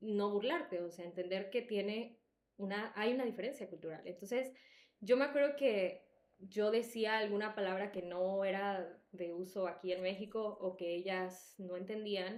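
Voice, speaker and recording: With an animated tone, a woman speaks at a fairly slow pace, medium pitch and ordinary pitch variation. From El Salvador. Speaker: podcast co-host. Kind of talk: casual chat.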